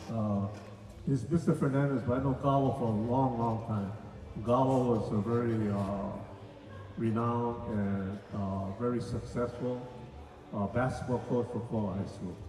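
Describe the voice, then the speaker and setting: With a Hawaiian accent, a man talks at a moderate pace in a medium pitch with ordinary pitch variation, against noticeable background noise and audible room echo. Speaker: event host, former swim coach. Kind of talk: casual talk-story interview with audience. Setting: community reunion stage with audience.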